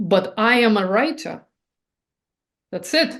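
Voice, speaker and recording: At a very slow pace, a woman speaks in a somewhat breathy voice with a fairly high pitch. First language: not English. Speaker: artist and writer. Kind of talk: interview. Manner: halting, with restarts; animated.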